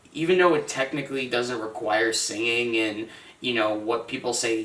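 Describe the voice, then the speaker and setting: A man speaks at a moderate pace in a medium pitch with ordinary pitch variation. Noticeable background noise and audible room echo are present. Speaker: music podcast co-host. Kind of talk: casual chat.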